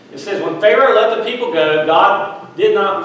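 A man's voice in strong room echo. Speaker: minister. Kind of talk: sermon. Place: church.

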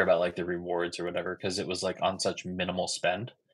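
The background is quiet as a man talks at a fairly quick pace. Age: 30s. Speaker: YouTube credit card creator. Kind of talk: casual interview. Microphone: video call.

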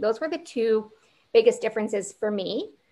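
With a Canadian accent, a woman speaks in an unremarkable speaking voice at a fairly high pitch. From Ontario, near Niagara Falls; Ontario. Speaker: physician assistant student. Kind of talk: Q&A panel answers. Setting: live online Q&A. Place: home room. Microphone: video call.

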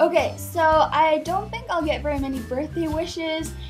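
A woman's voice over clear background music. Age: young. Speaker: vlogger. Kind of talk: casual talk to camera. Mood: playful mock-sentimental. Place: home room. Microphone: webcam.

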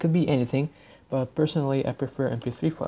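Here a man speaks in a dark, mellow tone. His intonation stays fairly even. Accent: non-native. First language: not English. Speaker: YouTuber / DJ tutorial maker. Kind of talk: tutorial. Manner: casual, halting with frequent fillers.

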